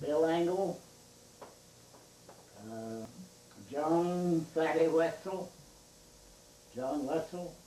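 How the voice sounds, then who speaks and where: Against audible room echo, a man speaks very slowly at a fairly high pitch, leaving long, frequent pauses. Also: ordinary pitch variation. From central Pennsylvania (Snyder County). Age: 80s+. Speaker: local elder interviewed about history. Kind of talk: oral history interview. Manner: halting.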